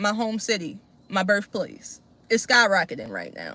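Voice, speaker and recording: Speaking in a Baltimore accent, a woman talks at a moderate pace in a medium pitch, her tone bright, sharp and animated. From Baltimore, Maryland, US. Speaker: political commentary streamer. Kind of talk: live stream reaction and commentary. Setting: live stream. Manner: casual, animated.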